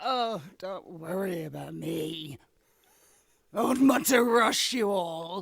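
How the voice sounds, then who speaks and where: A put-on character voice speaks here. Its pace is very slow and its pitch is middle. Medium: voice reel.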